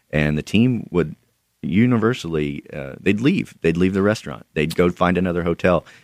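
A man with an American accent, vocal fry, ordinary pitch variation and a fairly quick pace, in a dry, close sound with no echo. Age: 30s. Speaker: author. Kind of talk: radio interview. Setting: studio.

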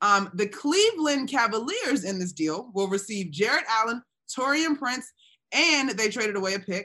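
A woman's normal speaking voice, fairly high, with lively intonation at a moderate pace. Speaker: basketball podcast host. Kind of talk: casual sports talk show.

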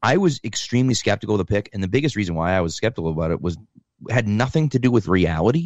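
A man with an unremarkable speaking voice talks at a fairly low pitch, his intonation lively. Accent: American. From Massachusetts, US. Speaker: football fan guest. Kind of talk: casual chat.

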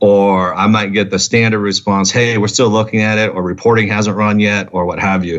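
Fairly quick and fairly even in intonation, a man talks at a fairly low pitch in an unremarkable speaking voice. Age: 40s. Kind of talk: interview.

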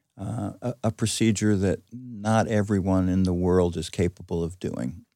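In a very clean recording with a silent background, a man's very deep, low voice carries a dark, mellow tone and ordinary pitch variation. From New York area. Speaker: surgeon. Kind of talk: interview. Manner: halting, frequent repetitions.

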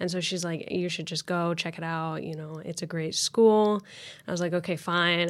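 A woman with a Midwestern American accent and a fairly low pitch, on a very clean recording with a silent background. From Indiana (Lafayette). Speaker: university student. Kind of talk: interview. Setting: studio.

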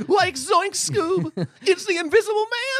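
Extremely high in pitch, a put-on character voice goes along fairly slowly. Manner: comedic, cartoonish.

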